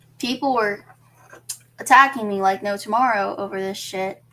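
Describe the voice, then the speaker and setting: A woman at a fairly slow pace, ordinary pitch variation, noticeable background noise behind her. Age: 20s. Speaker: streamer. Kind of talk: casual livestream monologue.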